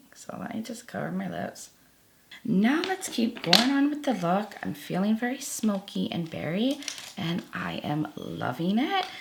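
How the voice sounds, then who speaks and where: Noticeable noise fills the background. Over it, a woman speaks fairly slowly. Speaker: beauty youtuber. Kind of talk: makeup tutorial. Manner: casual, chatty.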